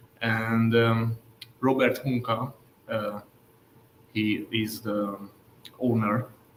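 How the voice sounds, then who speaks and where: Leaving long, frequent pauses, a man speaks at a very slow pace with a medium pitch and a monotone, flat intonation. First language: Hungarian. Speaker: jazz pianist. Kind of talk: casual chat. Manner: halting.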